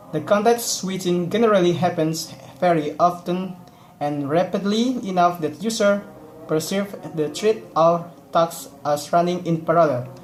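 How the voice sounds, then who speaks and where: Fairly slow speech with an Indonesian accent against noticeable background noise. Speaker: student. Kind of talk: class presentation. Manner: halting.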